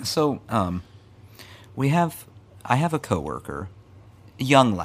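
A man with a medium-pitched, fry-laden voice talks at a very slow pace, leaving long and frequent pauses as his pitch swings very widely. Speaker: podcast co-host. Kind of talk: casual chat.

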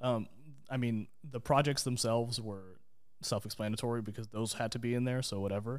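With an American accent, a man talks at a fairly quick pace in a medium pitch with fairly even intonation. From Texas (Dallas). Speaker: graphic designer. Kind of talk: casual interview chat.

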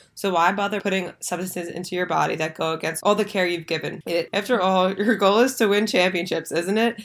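A plain, everyday voice with an American accent moves at a fairly quick pace with hardly any pauses. The intonation is fairly even, and the recording is very clean with a silent background. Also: woman, medium pitch for a woman. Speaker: podcast host. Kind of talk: casual chat.

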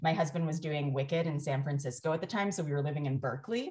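A woman's very deep, low, somewhat breathy voice at a very fast pace. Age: 40s. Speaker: doula and parenting educator. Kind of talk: casual interview chat.

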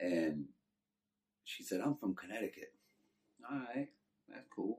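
A man talks at a fairly slow pace in a Texan accent. His loudness rises and falls sharply. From Texas. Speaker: former prisoner telling life story. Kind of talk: testimony.

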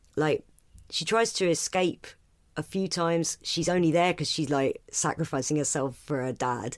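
In a very clean recording with a silent background, a woman with an English accent talks at a very deep, low pitch, at a moderate pace with ordinary pitch variation. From Britain. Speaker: stand-up comedian. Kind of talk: casual chat.

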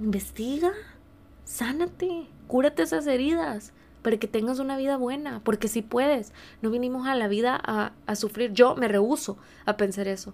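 In an ordinary speaking voice, a woman with a fairly high pitch and lively intonation talks at a moderate pace. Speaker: podcast host, life coach. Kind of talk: personal testimony monologue.

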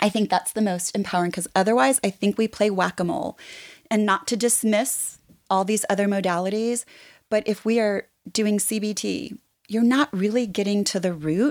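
A woman's unremarkable speaking voice at medium pitch and moderate pace, with ordinary pitch variation, in a dry, close sound with no echo and a very clean recording with a silent background. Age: 50s. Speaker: therapist. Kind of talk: casual chat.

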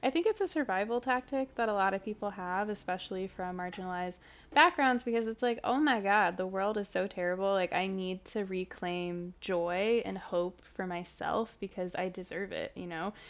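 An ordinary speaking voice with an American accent, at a moderate pace with hardly any pauses and ordinary pitch variation, in a very clean recording with a silent background. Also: woman, medium pitch for a woman. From US Midwest, St. Louis area (Ferguson, Missouri). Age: 20s. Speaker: environmental activist. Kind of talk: interview conversation.

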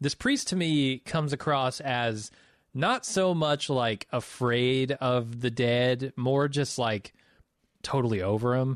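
Very slowly and at a medium pitch, a man speaks with ordinary pitch variation and very even loudness, in a dry, close sound with no echo over a quiet background. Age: 30s. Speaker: film podcast co-host. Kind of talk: casual chat.

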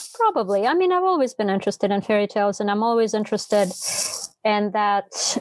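Talking at a very fast pace, a woman with a Russian accent holds a fairly high pitch and very even loudness. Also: ordinary pitch variation. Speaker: novelist. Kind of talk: casual interview conversation.

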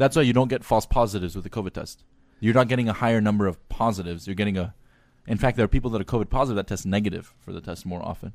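Speaking at a very fast pace, a man with an American accent uses a fairly low pitch and ordinary pitch variation. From Armenian diaspora, Glendale, California. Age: 20s. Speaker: physician. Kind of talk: casual chat.

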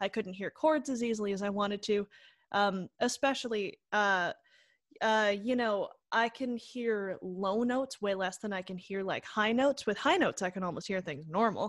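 Here a woman has a plain, everyday voice at medium pitch, with ordinary pitch variation and a moderate pace. The recording is very clean, with a silent background. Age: 20s. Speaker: actor and composer with a hearing impairment. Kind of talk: casual chat.

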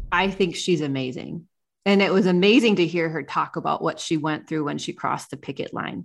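A woman with a Midwestern American accent, fairly low in pitch with ordinary variation, at a fairly quick pace, on a very clean recording with a silent background. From small-town Ohio. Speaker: podcast host. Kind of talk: podcast interview.

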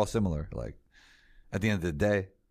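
A man with a New York accent and lively intonation, in a very clean recording with a silent background. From New York City. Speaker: sports content creator and show host. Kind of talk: casual interview.

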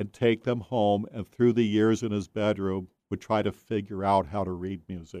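This man has an ordinary speaking voice with a fairly low pitch and fairly even intonation. He keeps a moderate pace with hardly any pauses. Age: 60s. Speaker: author. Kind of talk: casual chat.

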